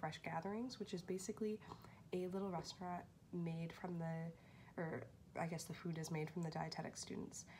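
A woman speaks at a moderate pace in a fairly low, somewhat breathy voice. Her intonation stays flat and monotone over light background noise. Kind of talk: casual vlog chat. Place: home room. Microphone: phone near.

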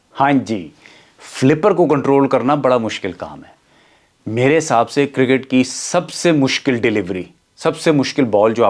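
This man talks at a fairly slow pace with ordinary pitch variation. The background is quiet. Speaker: comedic storyteller. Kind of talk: comic monologue, story to camera. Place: studio. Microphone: lapel.

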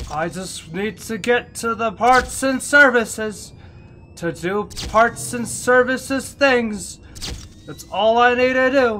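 At a very slow pace, a man speaks in a raised, projected voice over light background noise. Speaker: gamer streamer. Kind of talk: gameplay commentary. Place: home room. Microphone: headset.

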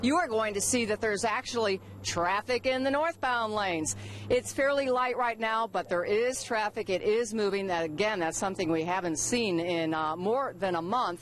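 With lively intonation, a woman talks over light background noise in a dry sound with no echo. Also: moderate pace. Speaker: TV field reporter. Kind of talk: live news report. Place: street. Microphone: handheld.

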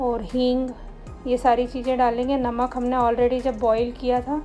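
Faint music sits in the background as a woman speaks. Her pitch is high and her pace fairly slow. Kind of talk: cooking tutorial narration. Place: kitchen.

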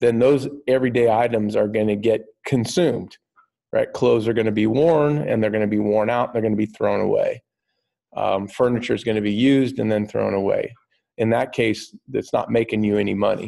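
A man's dark, mellow voice at a fairly quick pace, with fairly even intonation over a quiet background. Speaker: teacher. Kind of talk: lecture. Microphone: webcam.

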